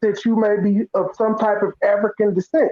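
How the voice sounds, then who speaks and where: A man talks at a moderate pace with an American accent. The sound is dry and close, with no echo. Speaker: live stream participant. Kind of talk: casual debate.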